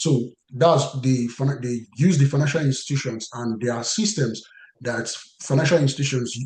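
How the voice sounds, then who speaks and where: At a fairly slow pace, a man speaks with a medium pitch, ordinary pitch variation, a dark, mellow tone and a somewhat breathy quality. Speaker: compliance career trainer. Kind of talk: webinar lecture. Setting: online webinar. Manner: halting, many fillers and restarts.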